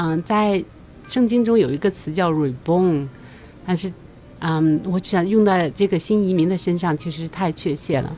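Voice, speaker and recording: With music in the background, a woman talks at a moderate pace with fairly low pitch and ordinary pitch variation. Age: middle-aged. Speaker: immigrant and community volunteer. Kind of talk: interview.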